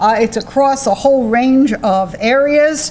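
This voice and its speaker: A woman with an American accent speaks loudly and fairly slowly in a high voice with ordinary pitch variation. Noticeable background noise can be heard. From United States. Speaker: psychology professor. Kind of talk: lecture.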